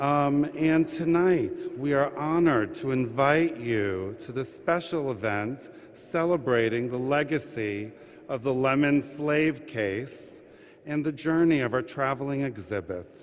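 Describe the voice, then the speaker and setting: The speaker uses a plain, everyday voice at a fairly slow pace. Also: man, fairly high pitch for a man, ordinary pitch variation. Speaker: administrative judge welcoming an audience at a courthouse event. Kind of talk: formal event welcome and opening remarks. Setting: live event in a courthouse rotunda addressing an audience.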